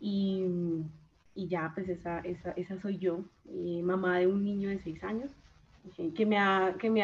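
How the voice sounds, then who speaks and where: A woman at medium pitch with fairly even intonation and a moderate pace. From Colombia, Chaparral, Tolima. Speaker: systems engineer and agile coach. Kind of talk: casual interview. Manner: halting, many repetitions.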